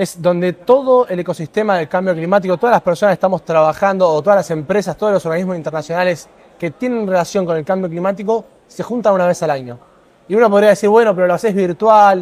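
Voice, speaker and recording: A man with a high pitch talks at a very fast pace. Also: ordinary pitch variation. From Argentina. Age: 20s. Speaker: environmental activist; interviewee. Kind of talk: interview. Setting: conference pavilion set. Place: hall.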